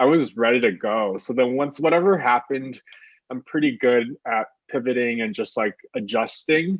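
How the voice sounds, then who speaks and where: A man with lively intonation talks at a medium pitch and a moderate pace. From Taiwan and US. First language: Mandarin Chinese. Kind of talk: interview. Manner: casual, many fillers.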